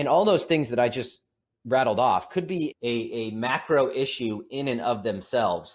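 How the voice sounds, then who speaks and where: Lively intonation marks this man's medium-pitched voice. The recording is very clean, with a silent background. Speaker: investment firm president giving market commentary. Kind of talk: market commentary monologue. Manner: fast.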